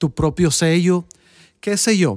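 In an ordinary speaking voice, a man talks at a fairly slow pace with ordinary pitch variation. The recording is very clean and dry, close and free of echo, over a silent background. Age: 40s. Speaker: music teacher and podcast host. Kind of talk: casual chat.

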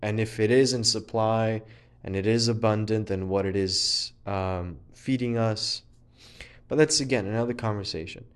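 Against a quiet background, a man with a fairly low pitch speaks at a moderate pace with fairly even intonation. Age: 20s. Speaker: ESG consultant. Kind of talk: solo monologue. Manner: halting.

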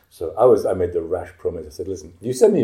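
A man speaks with a northern English accent. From northern England. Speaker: composer and improvising musician. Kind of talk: interview.

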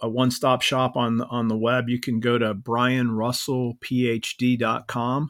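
With a Midwestern American accent, a man talks at a medium pitch. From US Midwest, northeast Ohio (Akron). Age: 50s. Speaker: pastor and professor of biblical studies. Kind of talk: casual conversation about scripture.

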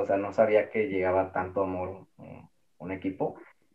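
A man's very deep, low voice carries along at a moderate pace. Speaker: football fan. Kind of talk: casual chat.

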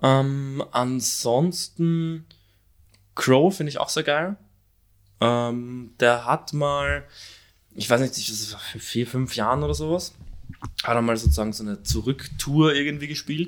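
Pausing long and often, a man speaks very slowly at a medium pitch with ordinary pitch variation, captured on a very clean recording with a silent background. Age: 20s. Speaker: podcast co-host. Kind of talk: casual chat. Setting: at home, recording in an apartment.

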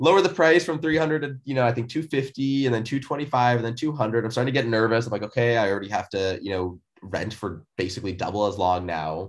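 Speaking at a moderate pace with hardly any pauses, a man with a medium pitch uses lively intonation. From Seattle, US Pacific Northwest. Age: 20s. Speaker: entrepreneur. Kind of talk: casual interview. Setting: remote call.

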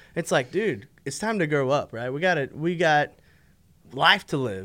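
On a very clean recording with a silent background, a man with an ordinary speaking voice talks at a fairly high pitch with lively intonation. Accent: American. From Texas, Fort Worth. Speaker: podcast co-host. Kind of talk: casual chat.

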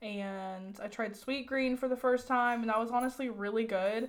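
At a moderate pace, a woman talks in an unremarkable speaking voice, fairly high in pitch and fairly even in intonation. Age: 20s. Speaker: podcast co-host. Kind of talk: casual chat.

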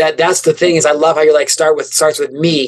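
In an American accent, a man speaks very fast, the sound dry and close with no echo. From rural Illinois, US Midwest. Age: 30s. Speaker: motivational speaker. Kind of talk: casual interview.

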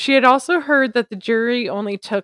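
Speaking at a moderate pace, a woman with a fairly high pitch and ordinary pitch variation is recorded very cleanly against a silent background, with a dry, close sound and no echo. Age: 30s. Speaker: podcast co-host. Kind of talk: scripted narration.

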